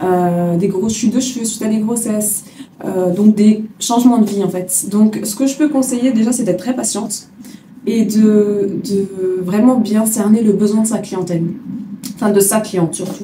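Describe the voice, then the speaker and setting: A woman speaks at a moderate pace in a fairly high pitch with fairly even intonation, with audible room echo and noticeable background noise. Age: 30s. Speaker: hair extension technician, business owner. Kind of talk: interview answers. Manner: hesitant with many fillers.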